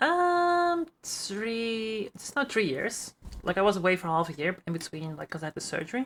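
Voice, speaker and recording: A woman's medium-pitched voice in a Dutch accent, at a moderate pace, with very wide pitch swings and big swings in loudness. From Netherlands. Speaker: streamer. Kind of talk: casual chat. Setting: live podcast call.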